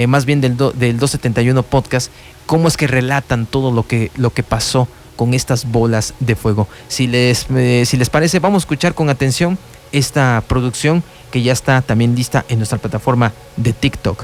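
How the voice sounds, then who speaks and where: At a moderate pace, a man talks at a medium pitch with ordinary pitch variation and very even loudness, against noticeable background noise. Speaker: radio host. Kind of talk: radio talk show narration. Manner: hesitant, conversational.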